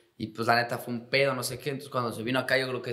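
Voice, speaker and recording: A man talks against a quiet background. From Mexico. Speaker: professional footballer; guest. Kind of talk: casual chat. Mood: relaxed, joking, slangy storytelling. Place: studio. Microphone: studio mic.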